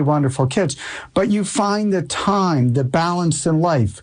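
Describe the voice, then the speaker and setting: A man with an unremarkable speaking voice and an American accent, fairly high in pitch, at a fairly slow pace with lively intonation. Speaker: radio host. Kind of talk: interview. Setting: radio studio.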